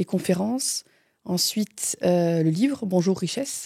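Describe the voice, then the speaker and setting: A woman at a very slow pace, with medium pitch, ordinary pitch variation and a dark, mellow tone in a Franche-Comté accent, dry and close with no echo, on a very clean recording with a silent background. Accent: Franche-Comté accent, still noticeable. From Franche-Comté, eastern France. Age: 40s. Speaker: closer, former pastry chef. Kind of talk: interview, personal story. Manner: hesitant, many fillers.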